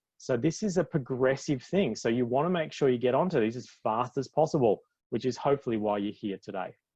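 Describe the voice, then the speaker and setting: The speaker talks at a fairly quick pace with an Australian accent and lively intonation. The background is quiet. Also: man, medium pitch for a man. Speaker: physiotherapist. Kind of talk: webinar presentation. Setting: live online broadcast. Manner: fast; animated.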